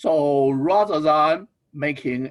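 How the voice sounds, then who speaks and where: With a non-native accent, a man speaks at a fairly high pitch using lively intonation. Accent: foreign. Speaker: business school dean. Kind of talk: ceremony speech.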